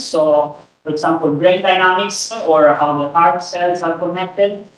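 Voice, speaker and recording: A man with a high pitch speaks at a moderate pace, with audible room echo around him. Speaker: researcher giving a conference talk. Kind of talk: lecture. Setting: conference room with audience. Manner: halting, many fillers. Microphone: no microphone, room recording.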